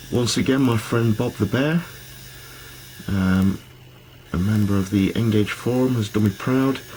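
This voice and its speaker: A man talks with long, frequent pauses and very even loudness, his pitch varying in an ordinary way. Noticeable noise sits in the background. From Britain. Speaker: model railway hobbyist. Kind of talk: video narration. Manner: hesitant with fillers.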